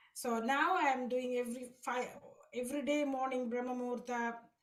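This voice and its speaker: Audible room echo surrounds a woman whose fairly even intonation and fairly slow pace stay consistent. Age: 60s. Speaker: devotee sharing experience. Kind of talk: testimony. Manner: halting.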